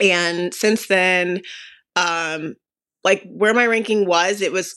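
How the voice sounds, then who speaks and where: Against a quiet background, a woman with an American accent and a fairly low voice speaks fairly slowly in a bright, sharp tone. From US, Las Vegas, Nevada. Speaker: professional tennis player. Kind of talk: casual chat.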